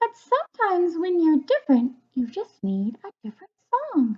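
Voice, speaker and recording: A woman does a squeaky put-on character voice at an extremely high pitch, with very wide pitch swings. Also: moderate pace. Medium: read story. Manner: gentle, soothing.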